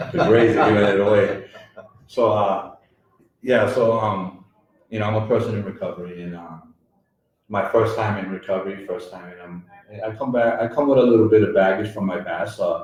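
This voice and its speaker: The speech runs at a fairly quick pace with fairly even intonation, long, frequent pauses, big swings in loudness and audible room echo. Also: man, fairly low pitch for a man. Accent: American. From Worcester, Massachusetts. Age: 40s. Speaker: peer recovery center director. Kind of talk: radio interview. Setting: live broadcast at recovery center. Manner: hesitant, many fillers.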